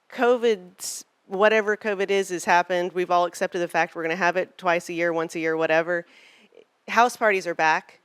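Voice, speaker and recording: A woman's fairly low voice at a fairly quick pace, dry and close with no echo, in a very clean recording with a silent background. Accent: Arkansas. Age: old. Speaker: political fundraising consultant. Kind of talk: panel presentation. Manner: animated.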